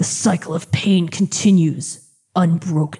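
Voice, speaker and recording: Growling in a put-on character voice, the speaker delivers a dramatic tone at a middle pitch and a fairly slow pace. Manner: dark, dramatic.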